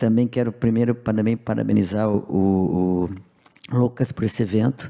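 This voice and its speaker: A man with an ordinary speaking voice talks at a moderate pace, his fairly low pitch carried on fairly even intonation. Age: 60s. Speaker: business owner. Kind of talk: panel discussion.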